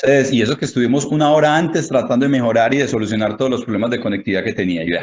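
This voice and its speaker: A man at a very fast pace with hardly any pauses. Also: medium pitch for a man, ordinary pitch variation. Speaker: handball fitness coach and lecturer. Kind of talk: lecture. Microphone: connectivity problems.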